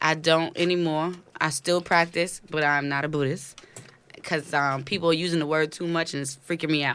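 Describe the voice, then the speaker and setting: A woman with an American accent speaks in a very deep, low voice with monotone, flat intonation. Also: moderate pace. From New York City (Brooklyn, Flatbush). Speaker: entrepreneur. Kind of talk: casual chat.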